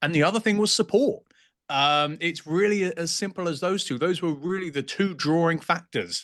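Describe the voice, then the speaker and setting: At a moderate pace, a man with a high pitch speaks with ordinary pitch variation. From England. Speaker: real estate agent. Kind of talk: podcast interview.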